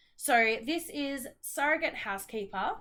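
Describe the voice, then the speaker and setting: A woman with an Australian accent, lively intonation and a bright, sharp tone. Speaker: knitting vlogger. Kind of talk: casual vlog chat. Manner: chatty, hesitant with many ums.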